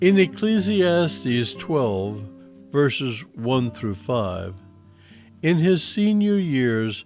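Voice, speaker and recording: Music plays in the background as a man speaks at a very slow pace and medium pitch, his voice making very wide pitch swings. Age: 70s. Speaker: Bible teacher. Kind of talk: Bible teaching and scripture reading. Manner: reflective.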